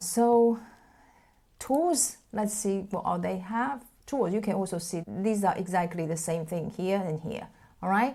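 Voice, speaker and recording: A woman with a non-native accent and a medium pitch speaks at a fairly slow pace with long, frequent pauses, on a very clean recording with a silent background. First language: not English. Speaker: tech tutorial creator. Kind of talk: tutorial. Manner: casual conversational.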